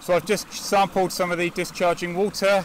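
A man speaks at a moderate pace in a monotone, flat intonation. The recording is dry with no echo, with light background noise. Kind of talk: field explanation. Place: waterside.

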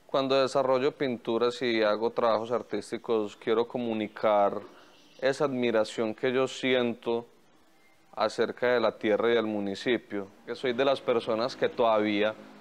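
A man speaks at a fairly slow pace with monotone, flat intonation. His loudness stays very even. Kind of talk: interview answer. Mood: calm, reflective.

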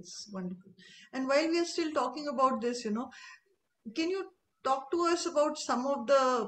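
High in pitch, a woman speaks at a moderate pace with lively intonation. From India. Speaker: interviewer. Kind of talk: interview. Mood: warm, smiling. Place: home room. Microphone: video call.

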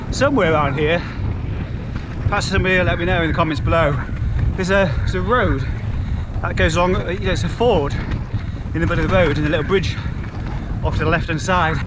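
A man at a very fast pace, with noticeable background noise. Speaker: cycling vlogger. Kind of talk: casual vlog chat. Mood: cheerful, jokey. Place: bicycle. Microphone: phone near.

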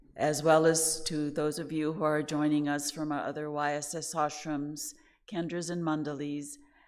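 A woman speaks with a very deep, low pitch and a monotone, flat intonation. Her pace is fairly slow, and the background is quiet. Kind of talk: sermon. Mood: warm, gentle, smiling. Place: hall. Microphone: podium.

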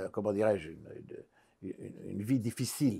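Dark, mellow tone from a man at a moderate pace, with ordinary pitch variation and a quiet background. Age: old. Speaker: psychiatrist and psychologist; interviewee. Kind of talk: interview. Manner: halting. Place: home room.

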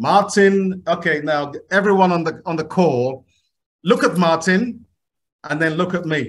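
A man talks at a fairly slow pace with a high pitch. His pitch moves an ordinary amount. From Ghana. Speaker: conference organiser. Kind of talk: event hosting. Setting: video call. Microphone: video call.

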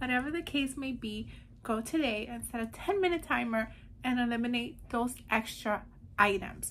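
Over light background noise, a woman speaks at a high pitch with ordinary pitch variation. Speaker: declutter challenge host. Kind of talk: casual vlog chat. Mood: cheerful, smiling. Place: home room. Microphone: phone near.

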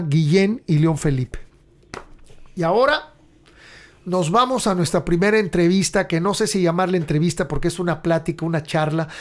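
Keeping very even loudness, a man with a high voice talks at a moderate pace with ordinary pitch variation. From Mexico. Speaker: podcast host and rock musician; podcast host. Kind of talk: casual chat; reading aloud. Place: home room. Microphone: studio mic.

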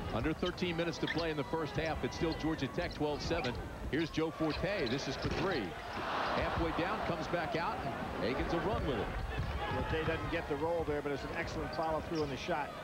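At a fairly quick pace, a man speaks in a dry sound with no echo, loud background noise behind him. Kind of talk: commentary. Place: stadium. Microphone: headset.

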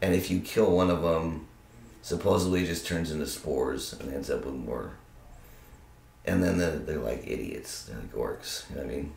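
A man with a very deep, low pitch and ordinary pitch variation talks at a moderate pace amid audible room echo. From Arizona and California (Tucson and Monterey); Arizona; California. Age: 30s. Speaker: university student; interviewee. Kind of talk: casual interview. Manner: animated. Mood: relaxed, amused explaining. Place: home room.

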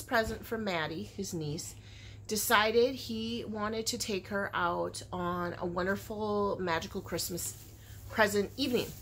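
A woman talks at a fairly slow pace with lively intonation. Light background noise sits underneath. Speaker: crochet vlogger. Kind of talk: casual vlog chat. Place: home room. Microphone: phone near.

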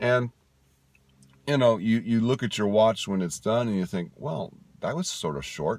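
A man speaks at a fairly low pitch with a slightly mellow tone. His intonation is lively. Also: fairly slow pace.

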